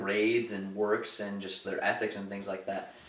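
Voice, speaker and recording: A man with an American accent speaks at a medium pitch and a moderate pace. Noticeable background noise and audible room echo are present. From US Midwest, Toledo, Ohio. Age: 20s. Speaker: college student, gamer. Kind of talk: documentary interview. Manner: casual, many filler phrases.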